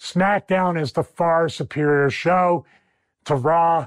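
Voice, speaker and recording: On a very clean recording with a silent background and a dry, close sound with no echo, a man with a Philadelphia accent speaks in an animated, enthusiastic tone. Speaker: wrestling commentator and podcast host. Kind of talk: wrestling analysis breakdown, solo monologue.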